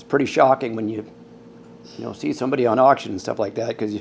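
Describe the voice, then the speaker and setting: A man with a medium pitch speaks very fast with ordinary pitch variation. There is noticeable background noise. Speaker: COPD patient sharing story. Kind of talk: personal testimony vlog. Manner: casual, hesitant.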